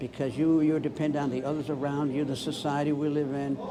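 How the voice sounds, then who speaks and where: A man speaks at a fairly high pitch. Audible room echo and noticeable background noise fill the recording. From Newfoundland, Canada. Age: 70s. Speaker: retired English teacher. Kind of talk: street interview. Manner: halting.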